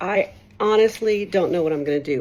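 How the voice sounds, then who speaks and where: A woman talking at a fairly quick pace. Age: 60s. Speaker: social media commenter. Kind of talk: personal video testimony. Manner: halting.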